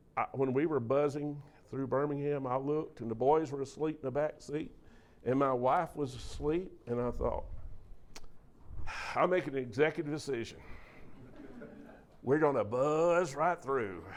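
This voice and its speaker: In a Southern US accent, a man with fairly high pitch and ordinary pitch variation talks at a moderate pace with long, frequent pauses, and the room echo is audible. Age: 60s. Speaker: preacher and speaker on mental health. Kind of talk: talk to a church audience. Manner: animated.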